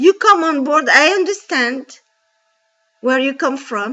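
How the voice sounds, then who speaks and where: A woman with a non-native accent speaks high, using lively intonation. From Djibouti. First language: French. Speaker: bank call centre agent. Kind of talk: personal testimony. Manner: halting with fillers; impassioned.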